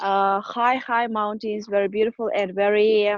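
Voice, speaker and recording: A woman's medium-pitched voice, flat and monotone, with a dry, close sound and no echo. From Kyrgyzstan. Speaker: student. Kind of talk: casual interview. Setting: video call, outdoors. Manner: halting, many fillers.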